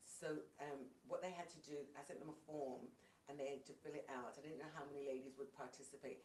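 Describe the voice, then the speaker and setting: With a British accent, a woman speaks in a very deep, low voice, and audible room echo surrounds her. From England. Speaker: worship leader and singer. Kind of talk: casual interview.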